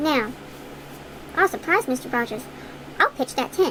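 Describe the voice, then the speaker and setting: Over clear background noise, a woman puts on a high-pitched character voice at a moderate pace. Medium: read story. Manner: earnest, cheerful.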